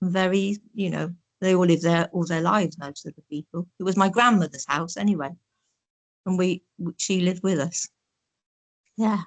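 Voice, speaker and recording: With an East Midlands accent, a woman speaks at a fairly low pitch and moderate pace, her intonation fairly even but her loudness swinging widely, with long, frequent pauses, in a dry, close sound with no echo. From Northampton, England. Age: 70s. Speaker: oral history interviewee. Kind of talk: reminiscing interview.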